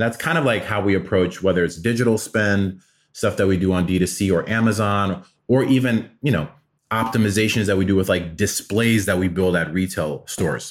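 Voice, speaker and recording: At a fairly quick pace and very even loudness, a man speaks in an unremarkable speaking voice, fairly low pitched with ordinary pitch variation. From Atlanta, US South (born in Afghanistan). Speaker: marketing executive. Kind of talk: interview.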